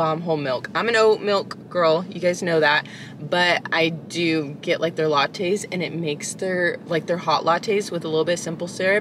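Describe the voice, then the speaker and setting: Over noticeable background noise, a woman with fairly low pitch speaks with hardly any pauses and fairly even intonation, the sound dry with no echo. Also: moderate pace. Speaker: coffee vlogger. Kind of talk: casual vlog chat. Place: car.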